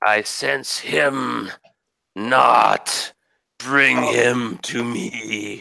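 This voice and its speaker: A man puts on a rumbling, raspy character voice at medium pitch, speaking at a very slow pace. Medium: actual play. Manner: slow, menacing.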